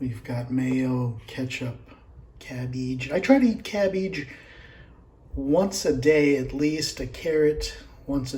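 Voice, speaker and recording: Soft-spoken and somewhat breathy, a man with a dark, mellow tone and medium pitch talks at a very slow pace with ordinary pitch variation, his voice carrying audible room echo. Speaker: home cooking video host. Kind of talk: casual cooking tutorial.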